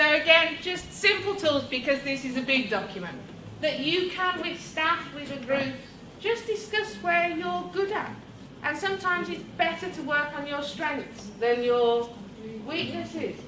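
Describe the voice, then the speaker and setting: A woman's raised, projected, high voice at a fairly slow pace with very wide pitch swings, audible room echo and noticeable background noise. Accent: British. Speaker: education technology trainer. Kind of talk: workshop presentation. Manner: loud; energetic.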